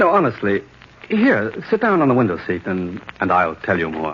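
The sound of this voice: A man puts on a character voice with a fairly low pitch and a slightly husky edge. He moves at a moderate pace through very wide pitch swings.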